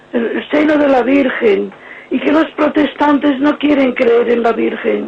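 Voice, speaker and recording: A woman speaks at a fairly slow pace in a high voice. Her loudness stays very even over noticeable background noise. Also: ordinary pitch variation. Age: 70s. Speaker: caller. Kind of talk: call-in testimony and prayer. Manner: halting.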